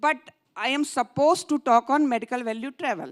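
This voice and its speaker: The recording is very clean, with a silent background. A woman speaks at a high pitch and moderate pace, with ordinary pitch variation. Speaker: hospital managing director. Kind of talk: conference talk. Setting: stage with audience.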